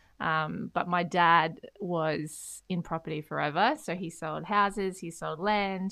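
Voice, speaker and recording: A woman's fairly low voice in an Australian accent, fairly slow and fairly even, with hardly any pauses. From Australia, Beenleigh, Queensland. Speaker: podcast co-host, property industry expert. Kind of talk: casual chat.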